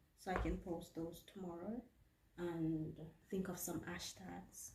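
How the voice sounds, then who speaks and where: A woman talks at a fairly slow pace, with audible echo from the room. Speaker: vlogger and HR administrator. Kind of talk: casual vlog narration. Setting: office. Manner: soft-spoken.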